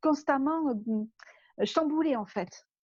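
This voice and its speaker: This woman's intonation is lively while her pace is very slow. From southern France. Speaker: life coach for entrepreneurs. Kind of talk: interview.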